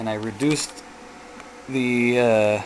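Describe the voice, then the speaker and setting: A man's medium-pitched, monotone, flat delivery over noticeable background noise. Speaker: DIY experimenter. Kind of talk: tutorial.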